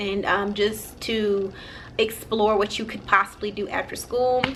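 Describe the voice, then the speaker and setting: A woman speaks at a fairly slow pace in a fairly high pitch, her intonation flat and monotone. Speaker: vlogger. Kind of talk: casual vlog. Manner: halting, many fillers.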